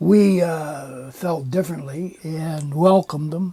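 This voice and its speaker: At a very slow pace, a man with an American accent speaks in a dark, mellow tone. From California. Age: 80s+. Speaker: ex-Marine and former resort owner. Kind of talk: casual chat. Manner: halting.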